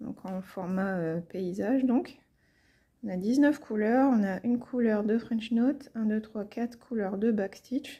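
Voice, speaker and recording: A somewhat breathy woman's voice at a fairly high pitch, very slow pace and ordinary pitch variation. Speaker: cross-stitch YouTuber. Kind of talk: casual tutorial. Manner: hesitant, many fillers.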